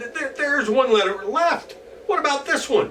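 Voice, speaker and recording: A man's put-on character voice, extremely high-pitched, at a moderate pace, with clear background noise. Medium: read story. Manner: grumbling, sulky.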